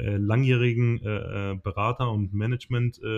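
A man's voice at medium pitch carries fairly even intonation. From southern Germany. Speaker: podcast co-host, former handball goalkeeper. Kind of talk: casual chat. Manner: hesitant, many fillers.

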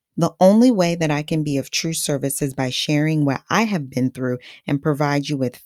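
In a Haitian accent, a woman speaks at a moderate pace with a very deep, low pitch and ordinary pitch variation, in a dry, close sound with no echo on a very clean recording with a silent background. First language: Haitian Creole. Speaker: podcast host. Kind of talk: scripted podcast monologue. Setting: studio mic.

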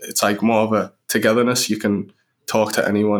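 A man with a Sunderland accent speaks at a fairly low pitch in a flat monotone. The recording is very clean, with a silent background. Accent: Mackem (Sunderland). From northeast England, Sunderland. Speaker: professional footballer. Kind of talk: interview.

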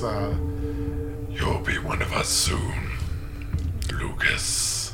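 Very slow put-on character voice from a man, amid loud background noise. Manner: threatening.

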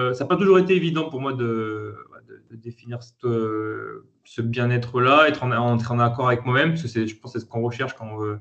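Bright and sharp, the voice shows ordinary pitch variation. It keeps a moderate pace. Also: man. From France, Lyon. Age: 30s. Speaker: entrepreneur. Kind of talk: interview. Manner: hesitant, many fillers.

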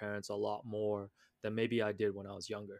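A man speaks in a normal speaking voice of medium pitch at a moderate pace, with a dry, close sound and no echo. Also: very clean recording, silent background. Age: 30s. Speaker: podcast host, former accountant. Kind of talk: casual chat.

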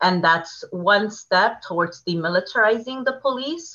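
Speaking at a fairly slow pace, a woman uses lively intonation and a Californian accent. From Oceanside, North County San Diego, California. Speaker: community organizer and educator. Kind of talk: podcast interview.

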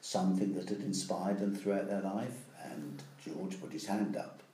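In an East Anglian accent, a man with a fairly low pitch speaks at a moderate pace. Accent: English (East Anglia). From England, Ipswich. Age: 70s. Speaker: interviewee. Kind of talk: casual chat.

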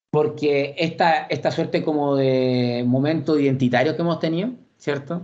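The man's voice sits fairly high in pitch and keeps a very even loudness. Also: fairly even intonation, moderate pace. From Santiago, Chile. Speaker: historian. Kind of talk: radio interview.

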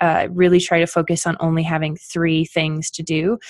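Fairly low in pitch, a woman with a Canadian accent speaks at a moderate pace. She has an unremarkable speaking voice with fairly even intonation. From Canada. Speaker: PR specialist and blog editor. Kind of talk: podcast interview.

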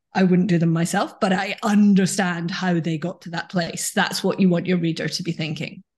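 Somewhat breathy, monotone delivery with flat intonation and hardly any pauses. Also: woman, fairly low pitch for a woman, moderate pace. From Scotland, foot of the Highlands. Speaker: thriller novelist. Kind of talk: casual interview.

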